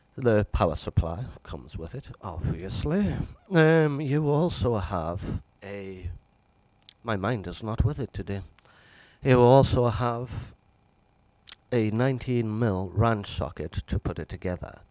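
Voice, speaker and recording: Speaking in a northern English accent at a fairly slow pace, this voice has lively intonation, big swings in loudness and long, frequent pauses. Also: man, fairly low pitch for a man. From northern England. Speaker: piano reviewer. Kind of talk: product review. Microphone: cheap mono microphone, must speak close.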